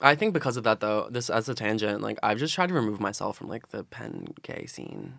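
Speaking fast with hardly any pauses, a man with an American accent uses a medium pitch, a bright, sharp tone, vocal fry and big swings in loudness. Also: lively intonation. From South Philadelphia. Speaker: college student. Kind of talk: casual chat. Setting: studio.

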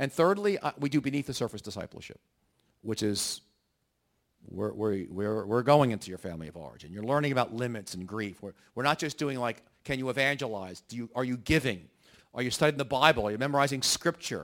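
In a very clean recording with a silent background, a man with an unremarkable speaking voice at medium pitch talks at a fairly quick pace, with lively intonation and big swings in loudness. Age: 60s. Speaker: pastor and church workshop speaker. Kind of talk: workshop talk.

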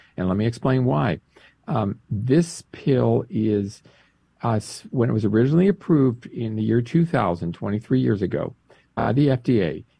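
The man's somewhat breathy, medium-pitched voice moves through very wide pitch swings at a fairly slow pace. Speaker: director of a pro-life advocacy group. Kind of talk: interview. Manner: explanatory, informative.

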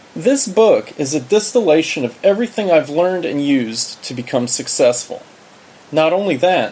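Noticeable background noise runs behind a man speaking at a fairly quick pace. His pitch swings very widely. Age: 40s. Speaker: self-help author. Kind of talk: audiobook narration.

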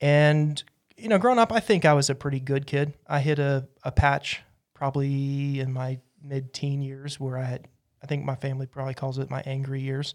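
On a very clean recording with a silent background, a man speaks in an ordinary speaking voice with an American accent. His pitch is fairly high, his intonation fairly even and his pace moderate. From Utah, US. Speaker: church member and preacher. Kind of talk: casual interview.

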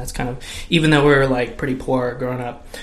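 A man with an American accent speaks at medium pitch amid noticeable background noise and audible room echo. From California. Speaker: podcast co-host. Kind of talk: casual tech discussion.

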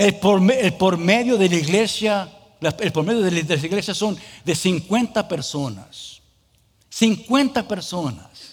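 A man with an English accent talks at a very slow pace. His pitch is high, with ordinary pitch variation. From US. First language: English (speaking Spanish). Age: 40s. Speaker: pastor. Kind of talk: sermon. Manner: halting.

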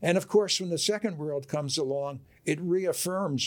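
With an American accent, a man speaks at a moderate pace with ordinary pitch variation in a very clean recording with a silent background. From US Northeast, Camden, New Jersey. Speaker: author and historian. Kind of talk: interview. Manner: halting, many fillers.

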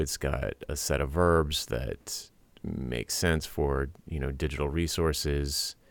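With an American accent, a man speaks at a very deep, low pitch with vocal fry. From US Northeast, Rhode Island. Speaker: podcast host, web developer. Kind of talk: casual tech chat. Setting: Skype call.

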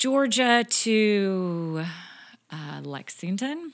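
Speaking with a General American accent, a woman uses lively intonation at a medium pitch on a very clean recording with a silent background. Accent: general American, plain. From Kansas. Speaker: church planter's wife, pastor's wife. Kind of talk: casual interview chat.

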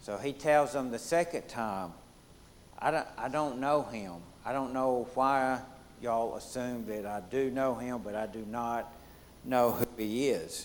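Speaking with a Southern US accent, a man uses a medium pitch with ordinary pitch variation. He goes at a fairly slow pace. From US Deep South. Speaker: Bible study leader. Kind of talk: Bible study lesson.

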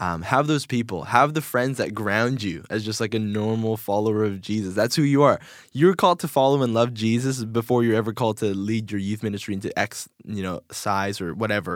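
The recording is very clean, with a silent background. A man talks in a plain, everyday voice with ordinary pitch variation. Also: medium pitch for a man, fairly quick pace. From Korea, moved to US at five. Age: 20s. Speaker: youth pastor. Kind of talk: casual interview. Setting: studio.

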